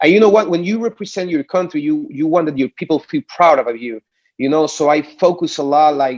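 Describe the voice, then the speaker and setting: Speaking fairly quickly in a Puerto Rican accent, a man with a fairly high pitch comes across dry and close, with no echo. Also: ordinary pitch variation. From Puerto Rico. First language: Spanish. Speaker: singer. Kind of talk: interview. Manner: halting, many repeated words.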